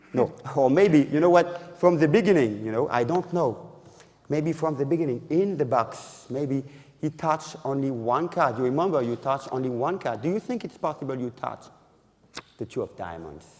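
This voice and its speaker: Speaking with a French accent, a man talks at a moderate pace in a fairly high voice with ordinary pitch variation. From France. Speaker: magician. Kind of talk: magic lecture with live demonstration. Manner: halting.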